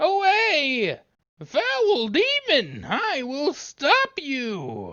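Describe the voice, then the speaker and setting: The speaker uses a put-on character voice. It is high in pitch and very slow in pace. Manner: feeble, meek, playing weak.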